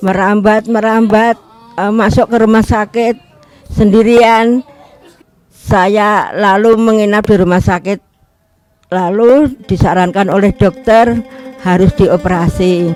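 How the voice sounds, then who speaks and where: The speaker is a woman with a fairly high pitch. She talks very slowly with fairly even intonation. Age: 60s. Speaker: healed church member giving testimony. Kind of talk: testimony.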